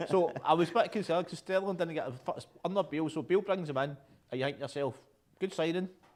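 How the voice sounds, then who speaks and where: A man speaks at a very fast pace in a Scottish accent. His pitch is high, with ordinary variation. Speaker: football fan show host. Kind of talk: casual chat.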